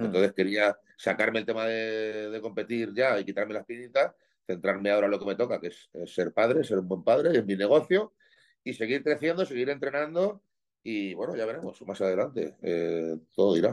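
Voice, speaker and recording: Over a quiet background, a man with an unremarkable speaking voice talks at medium pitch and moderate pace, his intonation lively. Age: 40s. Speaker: professional bodybuilder and gym owner. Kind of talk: casual interview chat.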